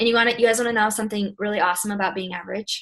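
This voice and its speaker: Somewhat breathy, a woman speaks at a very fast pace with medium pitch and fairly even intonation. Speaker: network marketing team leader. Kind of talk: motivational team call. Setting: call.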